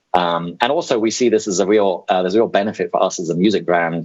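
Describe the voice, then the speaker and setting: Speaking very fast with a British accent, a man uses a very deep, low pitch and fairly even intonation. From UK. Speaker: music streaming executive. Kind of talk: presentation. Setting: video call. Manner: hesitant, many fillers.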